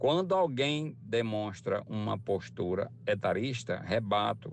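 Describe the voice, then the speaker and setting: A man with a Ceará accent talks at a very slow pace. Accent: Ceará countryside speech. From rural Ceará, Brazil. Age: 60s. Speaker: retired worker, driver. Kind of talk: recorded testimony.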